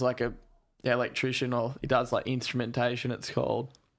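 A monotone, flat delivery at a fairly quick pace with an Australian accent. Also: man. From Australia (Gold Coast, Darwin, moved around). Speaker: professional surfer. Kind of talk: casual chat.

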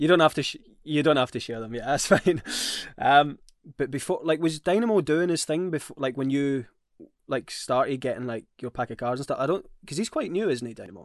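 A man with lively intonation at a fairly quick pace, against a quiet background. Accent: Scottish. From Scotland. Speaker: podcast co-host. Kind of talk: casual chat.

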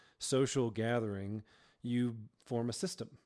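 Here is an ordinary speaking voice with an American accent at a moderate pace. The recording is very clean, with a silent background. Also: man. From Georgia, US South. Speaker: worship pastor. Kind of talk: casual interview chat. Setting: studio.

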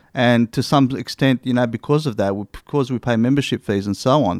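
A man with an Australian accent talks at a moderate pace and medium pitch, heard in a very clean recording with a silent background and a dry, close sound with no echo. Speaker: hunting podcast co-host. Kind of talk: casual chat.

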